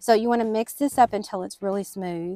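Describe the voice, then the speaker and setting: A woman with a Southern US accent talks at a fairly quick pace in a medium pitch. Her pitch varies in an ordinary way, and the sound is dry and close with no echo. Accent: American country. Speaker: baker. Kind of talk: recipe tutorial narration.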